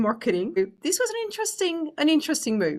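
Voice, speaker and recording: A woman speaks at a very fast pace in a French accent. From France. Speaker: business executive. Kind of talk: interview.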